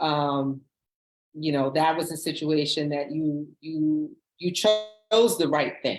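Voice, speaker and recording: Music plays behind a woman speaking very slowly. Her voice is very deep and low, with ordinary pitch variation. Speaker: lawyer, radio show guest. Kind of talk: radio interview answer.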